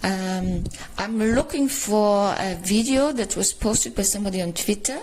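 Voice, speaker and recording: Against noticeable background noise, a woman with an Austrian accent talks very slowly at a medium pitch. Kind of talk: casual talk to camera. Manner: hesitant, many fillers.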